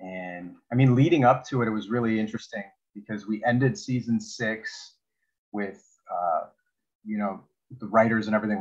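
A man's fairly low voice, fairly even intonation, moderate pace, quiet background. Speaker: actor interviewee. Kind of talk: interview answer. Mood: reflective, warm. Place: home room. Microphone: earbuds.

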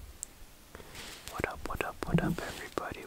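Whispering from a man. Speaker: ASMR creator. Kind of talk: casual ASMR ramble to camera. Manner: whispered.

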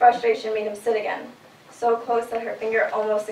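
Reading in an unforced reading voice

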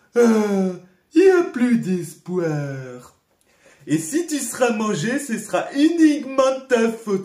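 Using a cartoonish character voice, a man talks at a fairly slow pace with an extremely high pitch and very wide pitch swings. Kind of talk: cartoon voice dubbing. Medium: fan dub. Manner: goofy, whiny, excitable.

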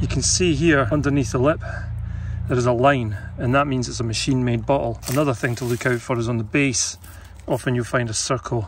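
A man at a fairly quick pace, ordinary pitch variation, dry sound with no echo and light background noise. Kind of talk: casual vlog chat. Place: forest. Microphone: phone near.

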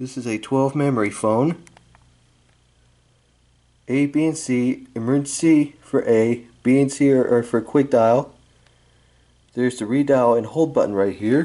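A man speaks in a dark, mellow tone at a fairly slow pace. His intonation is fairly even, broken by long, frequent pauses. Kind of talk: casual product review. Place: home room. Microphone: phone near.

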